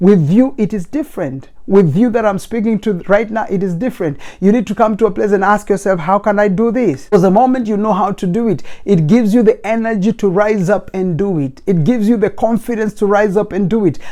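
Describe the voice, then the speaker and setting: With a non-native accent, a man talks at a fairly quick pace in a high pitch, with ordinary pitch variation. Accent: non-native accent, noticeable. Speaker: motivational speaker. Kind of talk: motivational talk. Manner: fast; emphatic, preacher-like.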